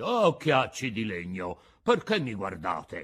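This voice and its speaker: Someone speaks in a put-on character voice at a fairly slow pace. The background is quiet. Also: man, medium pitch for a man. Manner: resentful.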